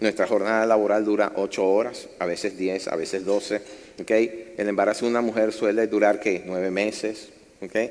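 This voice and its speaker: Pitched fairly low, a man talks at a moderate pace in a normal speaking voice with fairly even intonation. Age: 60s. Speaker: pastor. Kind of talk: sermon. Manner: conversational, engaging audience.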